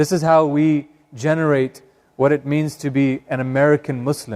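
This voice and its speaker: Fairly even intonation with a Northern California accent, in a dry, close sound with no echo. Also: man. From Northern California, Sacramento. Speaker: imam. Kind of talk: public talk. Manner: hesitant, many fillers.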